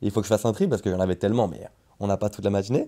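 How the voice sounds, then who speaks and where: Rattling along at a very fast pace, a man with a fairly low pitch and a dark, mellow tone speaks with ordinary pitch variation. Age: 20s. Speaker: podcast host. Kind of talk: interview.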